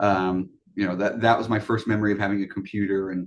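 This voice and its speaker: A man talks at a moderate pace in a fairly low pitch. It is an ordinary speaking voice. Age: 30s. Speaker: vintage computer hobbyist and entrepreneur. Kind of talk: interview.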